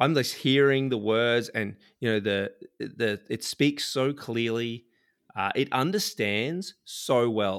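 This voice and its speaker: A man with a plain, everyday voice at medium pitch, ordinary pitch variation and a fairly slow pace, in a very clean recording with a silent background. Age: 30s. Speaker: software developer and podcast co-host. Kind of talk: casual chat.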